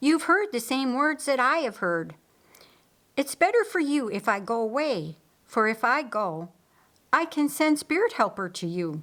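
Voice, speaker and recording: A woman puts on a character voice, pitched high and swinging very widely. She keeps a moderate pace. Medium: read story. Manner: calm, reflective.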